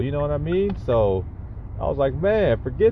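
A man speaking over noticeable background noise. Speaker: podcaster. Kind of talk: casual monologue. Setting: in a car. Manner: halting, many fillers.

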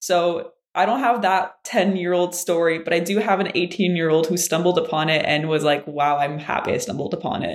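The woman's pitch is fairly low, with ordinary variation. She talks at a fairly quick pace with hardly any pauses. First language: French. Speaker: physics graduate student. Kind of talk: casual interview.

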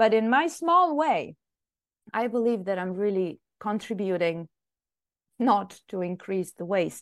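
A woman speaks in an Italian accent at a fairly slow pace. Behind her the background stays quiet. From Italy. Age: 40s. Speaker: scientist. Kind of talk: interview.

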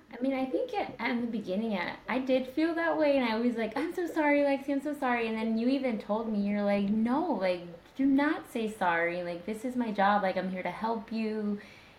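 A woman with an American accent talks at a fairly quick pace with hardly any pauses, her fairly high voice full of lively intonation, amid noticeable background noise and audible room echo. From US Midwest, Indiana. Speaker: speech language pathologist, coaching client. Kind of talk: casual interview. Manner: hesitant, many fillers.

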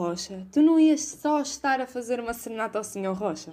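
A woman with a European Portuguese accent at a moderate pace. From Portugal, outside Porto. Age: young. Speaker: university student, podcast co-host. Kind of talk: casual chat.

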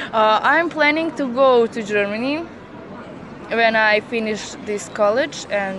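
Over noticeable background noise and audible room echo, a woman talks very slowly at a fairly high pitch, with ordinary pitch variation and hardly any pauses. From Bosnia, Velika Kladuša. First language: Bosnian (speaking German). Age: 20s. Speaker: nursing student. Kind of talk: street interview. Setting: outdoors at a market square. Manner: halting.

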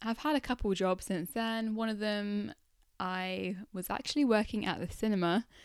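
Mumbling, a woman is heard on a very clean recording with a silent background. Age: 20s. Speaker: life coach podcaster. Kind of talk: solo podcast monologue. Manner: mumbles a bit, conversational.

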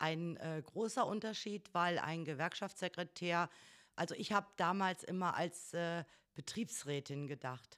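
A woman's fairly low voice, a normal speaking voice, at a fairly slow pace with ordinary pitch variation. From northern Hesse, Germany. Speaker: trade union secretary. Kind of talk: casual interview.

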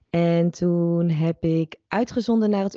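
The clip has an ordinary speaking voice with fairly even intonation. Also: woman. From Netherlands. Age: 30s. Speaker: holistic psychologist and reiki practitioner. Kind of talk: interview conversation.

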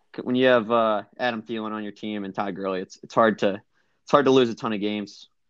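Using a plain, everyday voice, a man speaks at a fairly quick pace with fairly even intonation and big swings in loudness. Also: fairly low pitch for a man. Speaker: fantasy league member. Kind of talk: casual chat. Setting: phone call.

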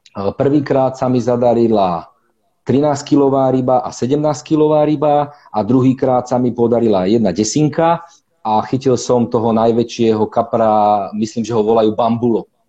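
Dark and mellow in tone, a man's voice shows ordinary pitch variation at a moderate pace. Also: medium pitch for a man. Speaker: competitive carp angler. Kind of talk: casual interview on a live stream.

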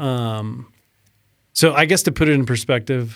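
An ordinary speaking voice from a man at medium pitch, fairly slow, with fairly even intonation. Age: 40s. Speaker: amateur racing cyclist and filmmaker. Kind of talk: casual chat.

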